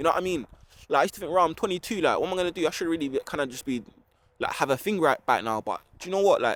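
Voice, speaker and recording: A man with a London accent talks at a very fast pace in a high voice with lively intonation. The sound is dry and close, with no echo. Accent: London Multicultural English. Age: 20s. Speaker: vlogger. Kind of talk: casual vlog monologue. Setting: outdoors in a park.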